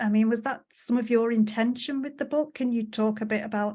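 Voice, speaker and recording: A somewhat breathy woman at a fairly quick pace with fairly even intonation, against a quiet background. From England. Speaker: podcast host. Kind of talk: podcast interview.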